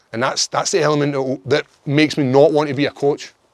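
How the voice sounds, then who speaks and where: A man with a strong Glaswegian accent talks at a very fast pace. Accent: thick Glaswegian Scottish. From Scotland, Glasgow area. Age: 30s. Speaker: MMA fighter. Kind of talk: casual chat.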